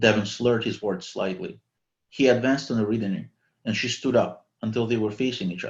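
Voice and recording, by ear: The background stays quiet. The speaker reads aloud in a natural voice.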